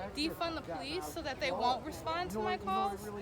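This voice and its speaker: Woman with an American accent, high-pitched with very wide pitch swings, talking at a fairly quick pace over crowd noise in the background. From Milwaukee, Wisconsin, USA. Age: 20s. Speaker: political supporter at a rally. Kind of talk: interview answer. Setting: outdoors. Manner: passionate, emphatic.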